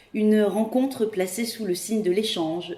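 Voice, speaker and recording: A woman with an unremarkable speaking voice and lively intonation. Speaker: podcast host. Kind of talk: interview questions.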